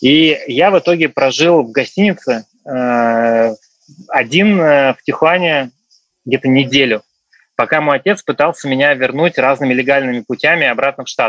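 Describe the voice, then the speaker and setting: An ordinary speaking voice from a man, fairly high in pitch, at a moderate pace with ordinary pitch variation and a dry, close sound with no echo. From Russia. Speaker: returned emigrant. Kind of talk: casual interview.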